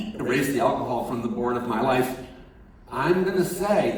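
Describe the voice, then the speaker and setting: Noticeable background noise runs under a man's voice. There is audible room echo. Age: 60s. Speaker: chaplain at a treatment center. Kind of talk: sermon. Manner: halting.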